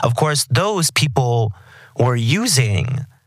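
A man's voice with ordinary pitch variation. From Texas. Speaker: podcast host. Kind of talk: interview. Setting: studio.

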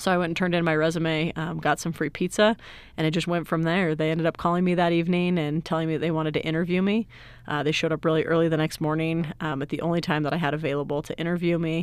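In a very clean recording with a silent background, a woman with an American accent speaks very fast in a fairly low, monotone, flat voice. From Utah, Salt Lake City. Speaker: IT director. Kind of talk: interview.

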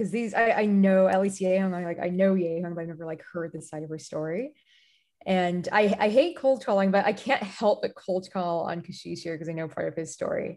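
A woman with a plain, everyday voice speaks at medium pitch and a fairly quick pace, with ordinary pitch variation and big swings in loudness. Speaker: podcast co-host. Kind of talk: casual panel discussion. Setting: online audio chat room.

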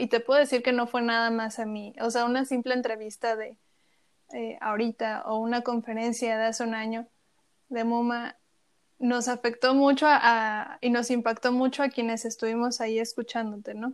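At a moderate pace, a woman with a fairly high pitch talks in a monotone, flat way. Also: very clean recording, silent background. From Chiapas, Mexico. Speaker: podcast host. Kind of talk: interview.

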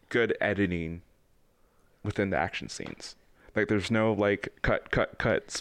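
A man's fairly low voice, with ordinary pitch variation, at a moderate pace. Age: 20s. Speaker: podcast co-host. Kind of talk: casual chat.

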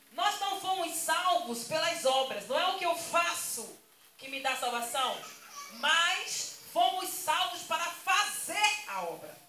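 Amid audible room echo and noticeable background noise, a woman uses a raised, projected voice at a very slow pace, with an extremely high pitch and lively intonation. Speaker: pastor. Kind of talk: sermon.

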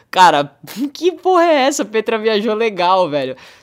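In a very clean recording with a silent background, a man speaks at a moderate pace with lively intonation. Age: 20s. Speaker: actor and director. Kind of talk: casual chat.

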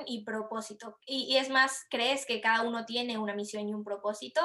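This woman has an unremarkable speaking voice pitched fairly high. She talks at a moderate pace. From Latin America. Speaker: podcast host, marketer. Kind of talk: podcast interview.

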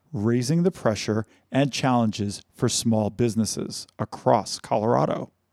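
The voice rises and falls in an ordinary way during plain reading aloud.

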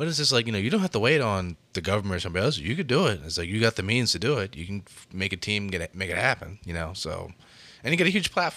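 With a bright, sharp tone and fairly low pitch, a man talks at a very fast pace, his loudness swinging widely. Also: lively intonation. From Baltimore. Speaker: podcast co-host. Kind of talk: casual chat.

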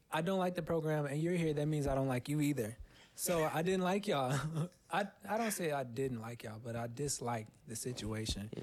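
A man with an ordinary speaking voice talks at a fairly quick pace, his pitch fairly high. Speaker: musician. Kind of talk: casual chat. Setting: home recording. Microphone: microphone plugged into laptop.

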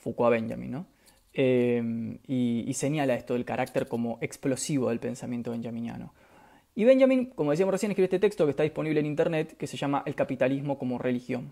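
On a very clean recording with a silent background, the words rush by at a very fast pace. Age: 30s. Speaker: philosophy livestreamer and teacher. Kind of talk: livestream lecture. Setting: live stream. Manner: halting.

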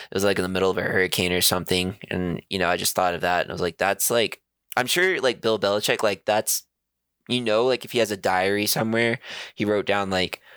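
A man at a fairly quick pace, dry and close with no echo, in a very clean recording over a silent background. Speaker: sports podcast co-host. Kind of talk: casual banter. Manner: casual, profane, animated.

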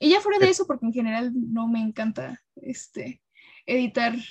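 Recorded dry and close with no echo, a woman speaks at a high pitch. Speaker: communication student. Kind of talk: casual chat.

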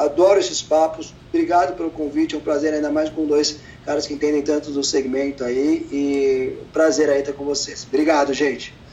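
A man's fairly quick, flat, monotone delivery with hardly any pauses amid noticeable background noise. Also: fairly high pitch for a man. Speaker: entrepreneur in car services. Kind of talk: interview.

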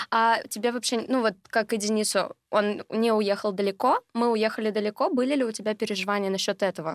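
A normal speaking voice at a moderate pace, with fairly even intonation. The sound is dry and close with no echo, on a very clean recording with a silent background. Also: woman. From Russia, Sverdlovsk Oblast. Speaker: geography tutor, student. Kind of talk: casual chat.

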